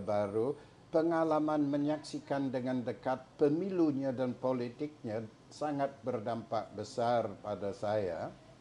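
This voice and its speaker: Speaking at a fairly slow pace in an English accent, the man has a medium pitch and a dark, mellow tone. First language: English (speaking Indonesian). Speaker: historian and academic. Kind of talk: interview. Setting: at his home. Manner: halting.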